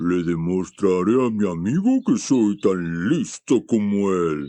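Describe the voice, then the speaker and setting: A man puts on a character voice. It sits fairly low in pitch and moves at a fairly slow pace. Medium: read story.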